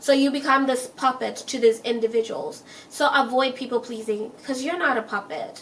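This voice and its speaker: A woman's animated tone at a moderate pace, with ordinary pitch variation and noticeable background noise. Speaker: self-help vlogger. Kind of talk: casual advice monologue.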